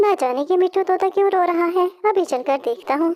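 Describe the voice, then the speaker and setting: This squeaky, put-on character voice moves at a fairly quick pace with ordinary pitch variation and very even loudness. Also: woman, extremely high pitch for a woman. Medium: cartoon.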